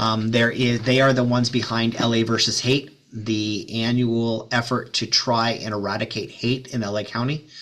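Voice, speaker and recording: A man talks in a monotone, flat intonation with hardly any pauses. Noticeable background noise runs underneath. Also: medium pitch for a man, moderate pace. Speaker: nonprofit executive director. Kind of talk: talk to a club meeting. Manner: hesitant, many ums.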